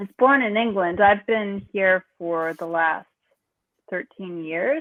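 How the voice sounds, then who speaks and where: A woman talks at a very slow pace with an American accent. Her intonation is lively. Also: medium pitch for a woman. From US, New York. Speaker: musician. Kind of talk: casual chat.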